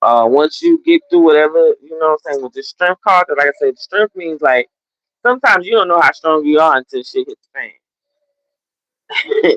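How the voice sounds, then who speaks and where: The speaker, with an American accent, leaves long, frequent pauses. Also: moderate pace. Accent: Southern country Gullah Geechee. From US South, Gullah Geechee coast. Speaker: tarot reader. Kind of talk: livestream tarot reading. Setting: live stream. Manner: casual, conversational.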